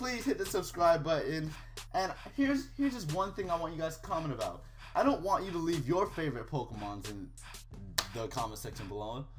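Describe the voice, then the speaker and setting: A man talks at a fairly quick pace in a high pitch, his voice swinging very widely in pitch. Music plays in the background, and the room echo is audible. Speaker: gaming YouTuber. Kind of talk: casual video commentary. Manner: animated; stumbling over words.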